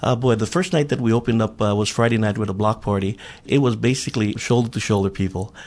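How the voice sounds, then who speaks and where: In a Hawaiian accent, a man talks at a very fast pace. His pitch is medium, with ordinary pitch variation and very even loudness. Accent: Hawaii local English. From Hawaii, Big Island (Honoka'a plantation camp). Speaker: council candidate and former politician. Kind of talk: radio interview.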